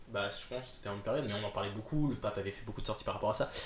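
Words tumble out of a man at a very fast pace. There is a somewhat breathy quality to his voice. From northern France (Nord). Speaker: film student. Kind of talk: casual chat.

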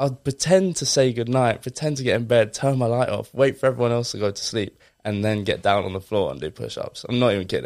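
A man with an Essex accent talks at a very fast pace and medium pitch, with ordinary pitch variation and hardly any pauses, on a very clean recording with a silent background. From Essex, England. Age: 20s. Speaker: fitness influencer. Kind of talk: casual interview.

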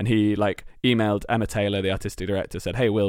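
Here a man with a British accent speaks at a fairly low pitch in a monotone, flat intonation. The recording is very clean, with a silent background. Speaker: comedy writer and performer. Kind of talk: casual chat.

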